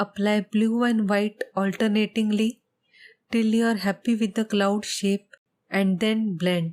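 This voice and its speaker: A soft-spoken woman talks fairly slowly at a fairly high pitch, in a flat monotone with very even loudness and a dry, close sound that has no echo. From India. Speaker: painter. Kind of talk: tutorial voiceover.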